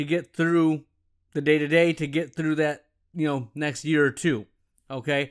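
On a very clean recording with a silent background, a man talks in an excited, animated tone at a fairly high pitch. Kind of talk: solo podcast monologue.

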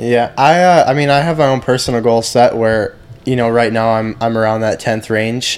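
With an American accent, a man in an ordinary speaking voice talks at a moderate pace, medium in pitch with fairly even intonation. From Michigan. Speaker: motocross racer. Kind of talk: casual interview.

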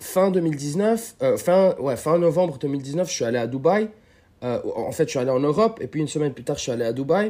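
With lively intonation and a dark, mellow tone, a man speaks at a fairly slow pace and fairly high pitch on a very clean recording with a silent background. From Lebanon. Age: 20s. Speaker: street workout athlete. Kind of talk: casual chat.

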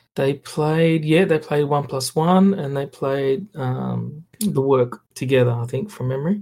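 Speaking at a fairly slow pace with hardly any pauses, a man with an Australian accent has a fairly high pitch, ordinary pitch variation, a dark, mellow tone and a somewhat breathy quality. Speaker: photographer. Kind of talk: casual chat. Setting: remote call.

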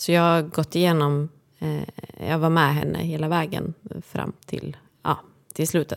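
A woman's very deep, low voice, monotone and flat, at a fairly slow pace. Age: 40s. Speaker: podcaster, friend and caregiver. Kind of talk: casual interview. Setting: studio.

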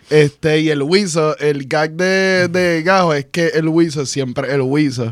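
At a very slow pace with hardly any pauses, a man talks in a fairly high pitch with ordinary pitch variation. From Puerto Rico. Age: 30s. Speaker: animator. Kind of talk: casual chat.

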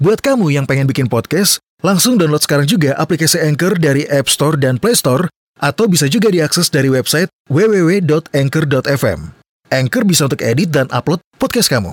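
A man with an unremarkable speaking voice at a fairly high pitch, lively in intonation, very even in loudness, at a moderate pace. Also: dry, close sound with no echo. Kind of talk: horror story narration.

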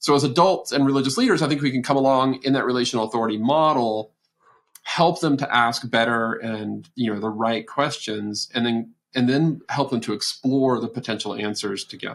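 An ordinary speaking voice with an American accent moves at a fairly quick pace, showing ordinary pitch variation. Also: man, medium pitch for a man. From Texas. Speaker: research institute director. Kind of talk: podcast interview.

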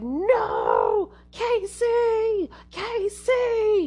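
Someone shouts in a put-on character voice at an extremely high pitch. It sounds squeaky. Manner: yelling in panic.

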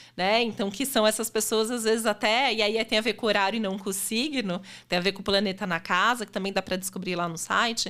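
A woman speaks at a moderate pace in a bright, sharp tone. The recording is very clean, with a silent background. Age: 40s. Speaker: astrologer. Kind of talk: casual chat.

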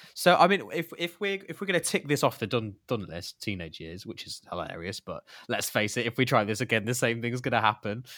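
A man talks at a fairly quick pace with medium pitch and very wide swings in it. The sound is dry and close with no echo, on a very clean recording with a silent background. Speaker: podcast co-host and son. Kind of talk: casual conversation.

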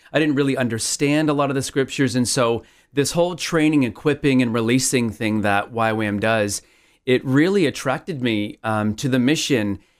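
On a very clean recording with a silent background, a man of medium pitch speaks at a fairly quick pace. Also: ordinary pitch variation. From Toronto, Canada.

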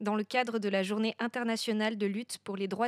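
A woman speaks at a fairly high pitch in a monotone, flat intonation. The recording is very clean, with a silent background. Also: dry, close sound with no echo. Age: 20s. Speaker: conference organizer and podcast host. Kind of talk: scripted narration. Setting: live conference with audience. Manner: halting.

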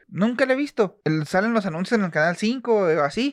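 With a Mexican accent, a man talks at a moderate pace and swings very widely in pitch, the sound dry and close with no echo against a quiet background. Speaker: podcast co-host. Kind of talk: casual chat. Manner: animated.

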